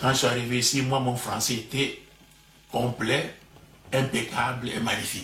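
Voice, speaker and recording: Speaking with a Congolese accent, a man of medium pitch talks at a fairly slow, monotone, flat pace with long, frequent pauses, amid noticeable background noise and audible room echo. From DR Congo, Bas-Congo. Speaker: professor. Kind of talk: interview. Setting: at home. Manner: halting, repeats words.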